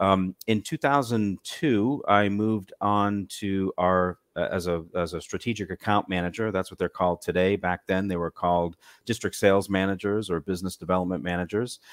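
This man has a normal speaking voice with an American accent, fairly low in pitch, and his intonation stays fairly even at a moderate pace. The sound is dry and close, with no echo. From Massachusetts. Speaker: cruise line sales manager. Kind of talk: casual interview.

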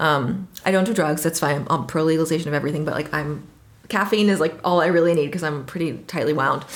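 Amid audible room echo, a woman with a very deep, low pitch and an American accent speaks at a very fast pace with ordinary pitch variation. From Washington, D.C. area, US. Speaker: trip leader living abroad. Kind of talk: casual interview.

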